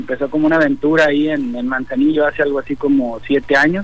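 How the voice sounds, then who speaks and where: At a moderate pace, a man speaks in an unremarkable speaking voice with a fairly high pitch and fairly even intonation. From Jalisco, Mexico (Autlán). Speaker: restaurant owner. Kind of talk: radio interview.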